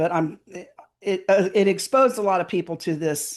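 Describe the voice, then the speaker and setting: A woman speaks against a quiet background. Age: 60s. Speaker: alien abduction experiencer. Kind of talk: testimony. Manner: halting.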